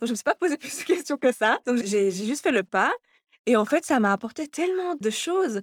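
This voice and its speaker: Over a very clean, silent background with a dry, close sound and no echo, a woman speaks at a fairly quick pace in a fairly high pitch with very wide pitch swings. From Belgium, Brussels area. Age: 20s. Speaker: fashion designer and stylist. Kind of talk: interview.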